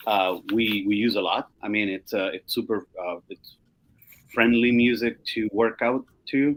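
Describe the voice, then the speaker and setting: With a Spanish accent, a man speaks fairly slowly at a medium pitch, his intonation fairly even. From Chile. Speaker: music curator. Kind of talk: casual panel discussion. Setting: video call. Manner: halting, many fillers.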